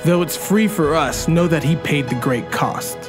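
Music plays clearly in the background. A man speaks at a fairly high pitch with lively intonation. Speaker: spoken word poet. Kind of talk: spoken word poetry performance. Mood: earnest, reverent, hopeful. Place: open country.

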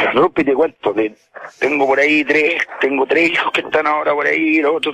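Over noticeable background noise, a man speaks at a fairly quick pace and fairly high pitch, with a dry, close sound and no echo. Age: 40s. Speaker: caller, farm worker. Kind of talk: phone-in confession.

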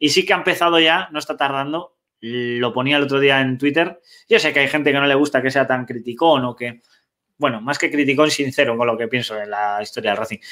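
In a quiet background, a man speaks at a fairly quick pace with a fairly high pitch and ordinary pitch variation. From Cantabria, Spain (Castro Urdiales); Cantabria, Spain. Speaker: sports show host. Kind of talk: casual sports talk show. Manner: animated. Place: home room. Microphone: webcam.

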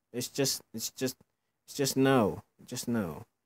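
Quiet and mumbling, the voice drags along at a very slow pace with vocal fry. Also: man. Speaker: gaming YouTuber. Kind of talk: casual gameplay commentary. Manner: mumbles, quiet.

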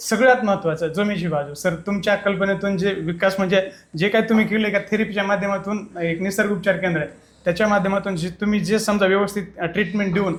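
Fairly even in intonation, the man's voice sits high in pitch. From Maharashtra, India (Kej, Beed). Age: young. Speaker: patient. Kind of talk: testimonial interview.

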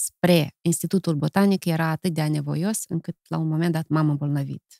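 The woman's voice sits fairly low and has a dark, mellow tone. The sound is dry with no echo, over a quiet background. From Moldova. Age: 50s. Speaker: poet and song lyricist; poet. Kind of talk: casual interview. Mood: warm, reflective, smiling at times. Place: studio. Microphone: studio mic.

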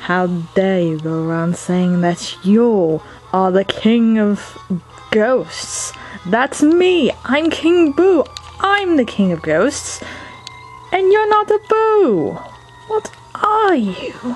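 A put-on character voice, female-sounding and fairly high, at a very slow pace over clear music in the background. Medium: dub. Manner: indignant, smug.

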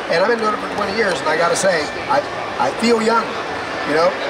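A man speaks at a fairly quick pace amid loud background noise. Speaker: product demonstrator. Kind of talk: sales pitch. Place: hall. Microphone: phone near.

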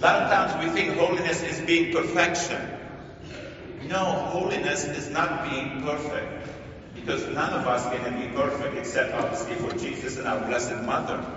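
A man's fairly high, fairly bright voice at a fairly slow pace, with fairly even intonation and strong room echo.

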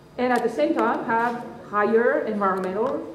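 A woman talks in a room with audible echo and light background noise. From France. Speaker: development bank country director; speaker. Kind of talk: formal speech. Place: hall. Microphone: podium.

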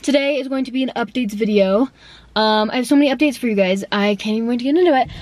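A woman talks at a very fast pace with a high pitch. The sound is dry with no echo. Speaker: vlogger. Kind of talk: casual vlog chat. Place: car. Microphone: phone near.

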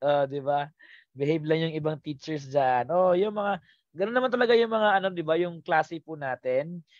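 Against a quiet background, a man with a fairly high pitch talks at a moderate pace. His tone is animated, with ordinary pitch variation. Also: dry sound with no echo. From Philippines. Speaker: teacher; exam review coach. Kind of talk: live online review lecture; online lecture. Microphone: headset.

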